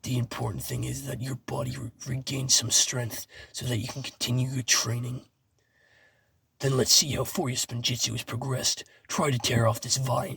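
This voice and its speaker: A man's put-on character voice, raspy and medium-pitched, with fairly even intonation. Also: moderate pace. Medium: read story. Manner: measured, instructive.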